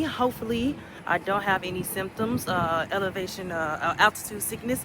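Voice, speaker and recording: A woman talks at a moderate pace and a medium pitch, with ordinary pitch variation. Background noise is noticeable. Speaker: travel vlogger. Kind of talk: casual vlog talk.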